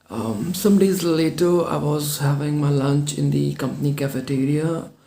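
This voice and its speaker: With a non-native accent, a man speaks at a moderate pace. His fairly high pitch varies in an ordinary way over noticeable background noise. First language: not English. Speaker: English speaking coach. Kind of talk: personal story told to camera.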